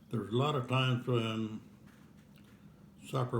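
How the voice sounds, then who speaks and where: A man talks at a medium pitch and a moderate pace. His voice is somewhat breathy, with monotone, flat intonation. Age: 90s. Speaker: elderly man recalling childhood. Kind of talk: family interview over dinner. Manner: halting, hesitant.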